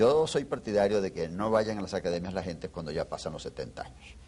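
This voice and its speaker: A normal speaking voice from a man at a fairly quick pace. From Venezuela. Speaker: historian. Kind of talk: interview.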